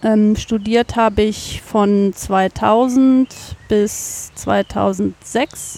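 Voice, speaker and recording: Very slowly, a woman speaks at a fairly high pitch with a dark, mellow tone. Her intonation is monotone and flat. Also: dry, close sound with no echo. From Cologne, Germany. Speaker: biologist, nature garden manager. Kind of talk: interview. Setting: outdoors in a garden.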